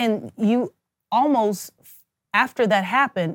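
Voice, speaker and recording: This woman has a normal speaking voice with an American accent, medium pitch and ordinary pitch variation. The sound is dry and close, with no echo. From US Midwest, Kansas City. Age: 40s. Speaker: physician. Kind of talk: casual interview.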